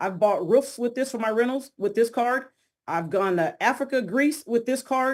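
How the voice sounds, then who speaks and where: A high-pitched woman's animated voice with lively intonation, on a very clean recording against a silent background. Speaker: crypto trainer. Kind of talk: interview about teaching plans. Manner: fast.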